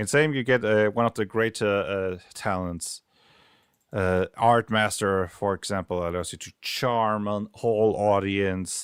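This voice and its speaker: Recorded very clean with a silent background, a man talks at a fairly slow pace in a fairly low pitch. His intonation is fairly even, and the sound is dry and close with no echo. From Germany. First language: German. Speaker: game designer streamer. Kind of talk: casual livestream commentary. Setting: livestream.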